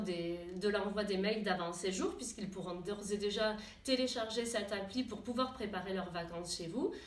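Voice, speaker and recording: Over noticeable background noise, a woman speaks at medium pitch with ordinary pitch variation. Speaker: tourism association staff member presenting a new web app to gîte owners. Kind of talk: corporate presentation to camera, informal explanatory talk. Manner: conversational, many hesitations and fillers.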